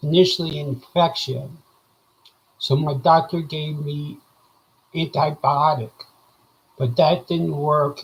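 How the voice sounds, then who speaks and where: The voice is somewhat breathy, with fairly even intonation. It moves at a very slow pace. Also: man. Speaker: vlogger sharing medical recovery. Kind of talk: casual video update. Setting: live video. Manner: hesitant, with frequent fillers.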